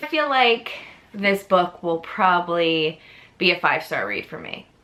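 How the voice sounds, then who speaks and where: A woman with an American accent, a fairly low pitch and lively intonation, over noticeable background noise. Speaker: book youtuber. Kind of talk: casual chat.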